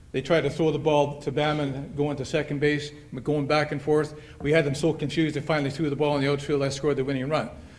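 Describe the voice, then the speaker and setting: A man with a Canadian Prairie accent, fairly high-pitched, at a moderate pace in a monotone, flat intonation. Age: 70s. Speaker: hall of fame inductee, retired softball player. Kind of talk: acceptance speech. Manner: halting.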